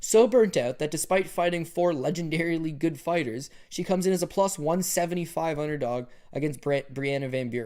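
A man speaks with a high pitch and ordinary pitch variation. His pace is fairly quick. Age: 30s. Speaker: MMA betting analyst. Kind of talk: casual chat.

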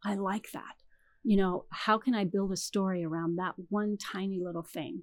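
A woman with a Californian accent at medium pitch and moderate pace, on a very clean recording with a silent background. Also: ordinary pitch variation. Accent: Californian American. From Canada, then US (Michigan, California). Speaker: romance novelist. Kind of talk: interview.

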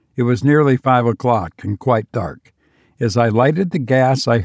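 It is a natural reading voice, heard against a quiet background.

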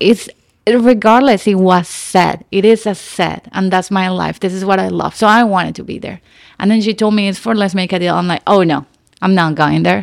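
The voice has a Nicaraguan accent and fairly even intonation at a moderate pace. The recording is very clean, with a silent background. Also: woman, medium pitch for a woman. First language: Spanish. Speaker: actress. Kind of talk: casual chat. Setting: studio.

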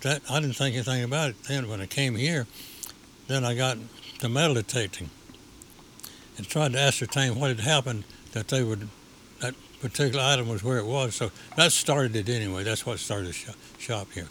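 A man talks at a fairly quick pace but with long, frequent pauses. Noticeable background noise runs underneath. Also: medium pitch for a man, ordinary pitch variation. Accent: Appalachian. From Appalachia, US South. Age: 80s+. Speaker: shop owner, memorabilia collector. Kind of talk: interview. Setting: on location in his store.

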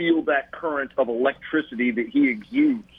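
An unremarkable speaking voice from a man with an American accent, at a moderate pace with ordinary pitch variation. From US South. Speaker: basketball journalist. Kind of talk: radio interview. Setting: phone call.

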